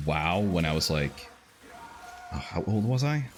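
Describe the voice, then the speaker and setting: A man with a non-native accent at a moderate pace, against noticeable background noise. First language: not English. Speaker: vtuber game streamer. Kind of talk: casual gameplay chat. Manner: halting, many fillers.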